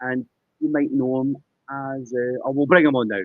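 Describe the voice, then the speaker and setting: This man speaks at a moderate pace with a Scottish accent. His pitch sits in the medium range. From Scotland. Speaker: poker game show host. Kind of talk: live interview. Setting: live stream.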